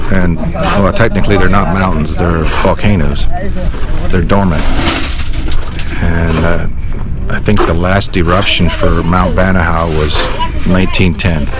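Long, frequent pauses break up a man's fairly slow speech amid loud background noise. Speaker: builder vlogger. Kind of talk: casual vlog chat. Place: open country. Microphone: phone near.

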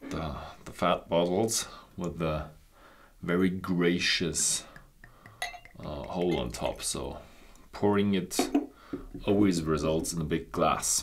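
A man speaks very slowly with long, frequent pauses over loud background noise. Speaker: whisky reviewer. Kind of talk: product review talk. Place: studio.

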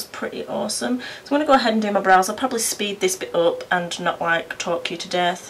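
A woman talks very fast in a British accent. Light background noise can be heard. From United Kingdom. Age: 20s. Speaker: beauty vlogger, mum. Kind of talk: casual talk to camera. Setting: indoors by a window, traffic noise. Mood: relaxed, self-deprecating. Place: home room. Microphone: camera far.

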